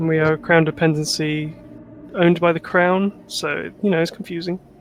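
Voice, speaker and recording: A man speaks at a high pitch with a southern English accent. His intonation stays fairly even, and his pace is moderate. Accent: generic southern English. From Channel Islands. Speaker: gamer on stream. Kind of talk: casual chat.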